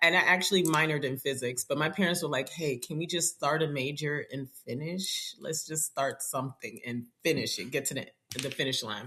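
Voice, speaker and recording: A woman with an American accent, a very deep, low pitch and a fairly quick pace, over noticeable background noise. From New York City, Nigerian family. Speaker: district math specialist. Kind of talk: podcast interview.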